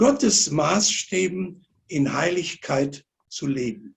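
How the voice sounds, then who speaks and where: This man speaks with a high-pitched voice. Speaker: preacher. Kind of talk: sermon. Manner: measured, pausing for interpreter.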